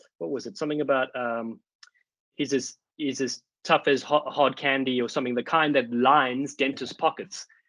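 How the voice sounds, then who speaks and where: A man with a South African accent speaks at a medium pitch in a bright, sharp tone. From South Africa, Cape Town. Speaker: rugby commentator. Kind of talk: casual chat. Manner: fast; animated.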